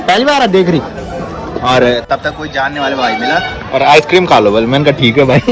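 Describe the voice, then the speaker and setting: Music plays in the background as a man with a fairly high pitch speaks in an animated tone with ordinary pitch variation and long, frequent pauses, with audible room echo. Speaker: village life vlogger. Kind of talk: casual vlog. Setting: outdoors at a village fair.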